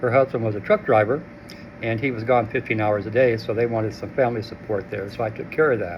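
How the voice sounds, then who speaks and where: Over noticeable background noise, a man talks very fast at a medium pitch, his intonation fairly even. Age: 70s. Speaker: formerly homeless shelter resident. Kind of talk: interview testimony. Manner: halting, many fillers.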